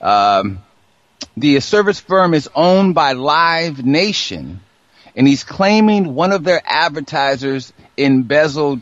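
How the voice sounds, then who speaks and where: Lively intonation marks an ordinary speaking voice from a man with a fairly high pitch. He goes at a fairly slow pace. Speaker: radio host. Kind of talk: casual chat.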